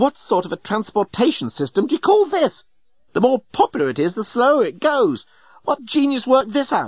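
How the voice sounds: Putting on a character voice, a man speaks at an extremely high pitch with very wide pitch swings, a slightly husky edge and a moderate pace, in a dry, close sound with no echo.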